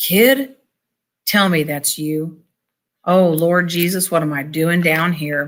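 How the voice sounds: In a put-on character voice at a middle pitch, the speaker talks shakily at a fairly slow pace.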